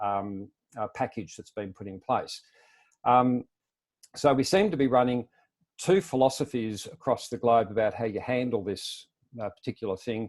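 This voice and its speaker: A man with an Australian accent speaks at a moderate pace and medium pitch, with ordinary pitch variation and long, frequent pauses, against a quiet background. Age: 60s. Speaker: self-employment advocate. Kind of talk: webinar presentation. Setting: webinar.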